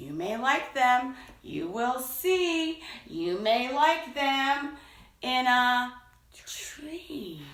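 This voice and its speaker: In a put-on character voice, a woman speaks very slowly at a high pitch, with a slight echo. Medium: read story. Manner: insistent, wheedling.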